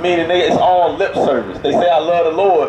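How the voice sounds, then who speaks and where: Noticeable background noise accompanies a man who talks at a very fast pace. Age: 30s. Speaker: street preacher. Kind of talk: street preaching to passersby. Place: street.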